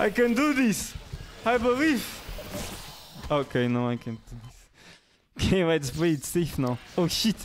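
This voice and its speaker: A man speaks with a Portuguese accent in a high voice, his pitch swinging very widely over noticeable background noise. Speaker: gaming streamer. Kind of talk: live gameplay commentary.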